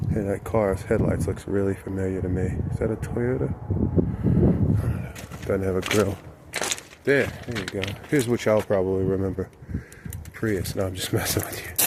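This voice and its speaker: A man with a very deep, low pitch, long, frequent pauses, and noticeable background noise. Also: ordinary pitch variation, moderate pace. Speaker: DIY auto channel host. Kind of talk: casual vlog walkthrough. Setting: outdoors at a junkyard.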